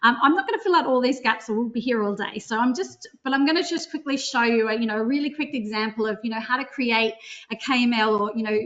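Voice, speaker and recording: A woman with an Australian accent and a high pitch races along at a very fast pace with hardly any pauses, over noticeable background noise. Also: ordinary pitch variation. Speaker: drone company CEO. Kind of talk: webinar software demo. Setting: online webinar.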